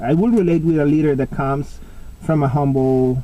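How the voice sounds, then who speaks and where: A man's voice with a Spanish accent and fairly even intonation. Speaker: pipe smoking vlogger. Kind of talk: casual monologue vlog. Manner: halting, with many fillers.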